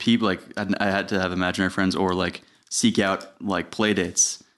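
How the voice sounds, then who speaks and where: Over a quiet background, a man with an American accent speaks at a moderate pace. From New York, Putnam County. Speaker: filmmaker and entrepreneur. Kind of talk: casual chat.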